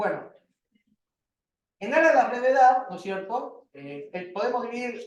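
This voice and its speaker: Lively intonation runs through this man's high-pitched voice. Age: 40s. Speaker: university lecturer. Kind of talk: lecture. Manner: fast.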